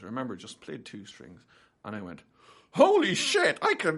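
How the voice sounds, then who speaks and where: The speaker talks at a fairly quick pace with an Irish accent. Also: man. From Ireland. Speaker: guitar teacher. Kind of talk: podcast interview, casual conversation. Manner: fast.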